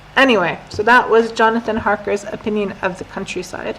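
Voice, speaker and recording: A woman speaks with an American accent at a fairly high pitch. Noticeable background noise is audible. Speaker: English teacher. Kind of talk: lesson with reading aloud. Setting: live stream. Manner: slow, clear.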